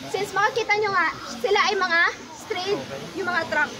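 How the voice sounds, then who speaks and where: Raising and projecting her voice at an extremely high pitch, a woman speaks at a moderate pace amid noticeable background noise. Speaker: tour guide. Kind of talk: guided tour talk. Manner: halting.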